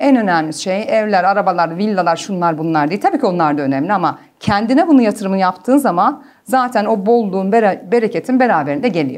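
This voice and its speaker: Against a quiet background, a woman talks at a very fast pace with lively intonation and hardly any pauses. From Germany. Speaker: clinical psychologist; guest. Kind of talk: interview. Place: studio. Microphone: lapel.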